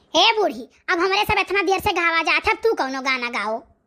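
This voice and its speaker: A woman performs a squeaky, cartoonish character voice at an extremely high pitch with very wide pitch swings. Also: fairly quick pace. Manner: homely, casual dialect chatter.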